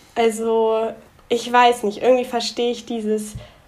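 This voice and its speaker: Against noticeable background noise, a woman talks at a moderate pace with fairly high pitch. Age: 20s. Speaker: young entrepreneur. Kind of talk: podcast interview.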